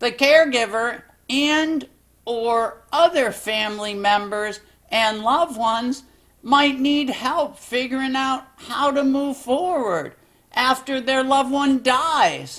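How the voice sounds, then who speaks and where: A cartoonish character voice, female-sounding and high-pitched, at a fairly slow pace. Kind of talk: educational explainer, one side of a phone call. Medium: puppet. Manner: calm, patient.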